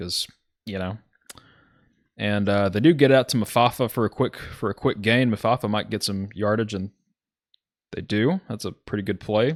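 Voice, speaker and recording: A man with a Southern accent talks at a moderate pace, with a fairly low pitch and ordinary pitch variation, in a dry, close sound with no echo on a very clean recording with a silent background. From US South, Alabama. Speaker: video game football commentator. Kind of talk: live commentary. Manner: casual, with fillers and self-corrections.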